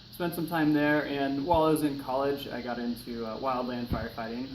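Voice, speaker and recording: A man with a Pacific Northwest accent at a medium pitch and moderate pace, with ordinary pitch variation, noticeable background noise and audible room echo. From US Pacific Northwest, eastern Washington. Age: 30s. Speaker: firefighter. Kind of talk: class speech assignment, self-introduction. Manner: casual, many filler words.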